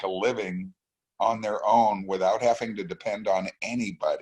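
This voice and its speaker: Speaking at a moderate pace, a man uses a plain, everyday voice pitched at a medium level. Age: 60s. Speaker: business owner, trading student giving testimony. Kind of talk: testimony.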